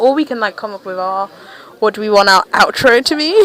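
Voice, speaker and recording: A woman's medium-pitched voice at a very fast pace, with lively intonation and noticeable background noise. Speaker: podcast co-host. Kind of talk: casual chat.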